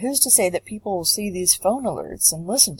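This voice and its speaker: A woman talks at a fairly quick pace in a somewhat breathy voice with ordinary pitch variation. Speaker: public health student. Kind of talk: class presentation narration. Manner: some stammering.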